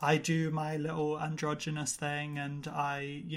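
This man has a British accent and a fairly high pitch. His intonation stays monotone and flat. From UK. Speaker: podcaster and model. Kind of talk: casual interview chat.

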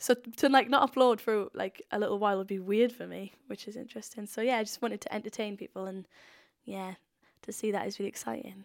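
A woman's fairly high voice in a Welsh accent, very fast with fairly even intonation and big swings in loudness, in a very clean recording with a silent background and a dry, close sound with no echo. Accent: Welsh (Swansea). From Wales, Swansea. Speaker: YouTube comedian. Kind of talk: interview. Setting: recording room at a rural retreat. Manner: casual, filler-heavy with frequent 'like'.

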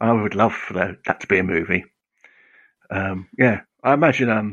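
Fairly low male voice at a fairly quick pace, with ordinary pitch variation and long, frequent pauses. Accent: English. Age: 50s. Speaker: comics author. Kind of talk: casual interview.

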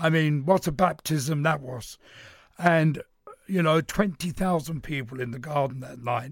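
Somewhat breathy and fairly high-pitched, a man speaks at a fairly slow pace with ordinary pitch variation and big swings in loudness. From East London. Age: old. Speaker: veteran boxing journalist. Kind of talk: radio panel discussion.

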